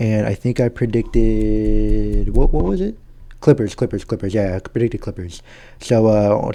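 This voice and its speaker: A man talks quietly at a moderate pace. His pitch is medium and his tone is dark and mellow. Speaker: gaming YouTuber. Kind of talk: casual chat. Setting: at home.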